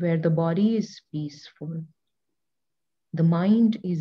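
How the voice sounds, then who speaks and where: A woman speaks very slowly in a somewhat breathy, dark and mellow voice, fairly low in pitch with fairly even intonation. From India. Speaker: yoga teacher. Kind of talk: guided meditation. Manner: soft-spoken.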